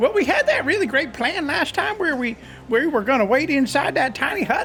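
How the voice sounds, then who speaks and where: A put-on character voice with a high pitch moves at a fairly quick pace over clear music in the background. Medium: actual play. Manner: casual.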